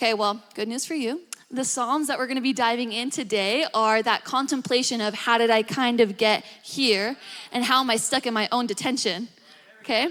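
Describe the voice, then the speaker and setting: With an American accent, a woman speaks in an animated tone at a high pitch, her pitch varying in an ordinary way. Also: moderate pace. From Australia. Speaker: preacher. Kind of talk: sermon. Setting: church. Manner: casual, animated.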